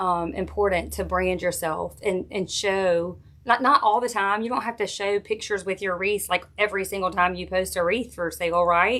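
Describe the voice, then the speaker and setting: A woman with a Southern US accent speaks at medium pitch and a moderate pace, with hardly any pauses. Her tone is bright and sharp, her intonation fairly even, and the recording very clean with a silent background. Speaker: wreath maker and craft tutor. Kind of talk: live craft tutorial with viewer chat. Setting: Facebook live stream. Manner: casual, chatty.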